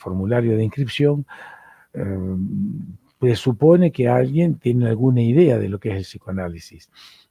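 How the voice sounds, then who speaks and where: A man with an Argentine accent speaks in a dark, mellow tone that is somewhat breathy. His intonation is lively and his pace fairly slow. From Argentina. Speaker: psychoanalyst and university lecturer. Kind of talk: lecture.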